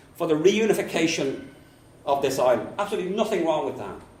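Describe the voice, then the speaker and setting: In a strong Dublin accent, a man speaks amid noticeable background noise and audible room echo. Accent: thick Dublin. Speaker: politics professor and local councillor. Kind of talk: conference talk.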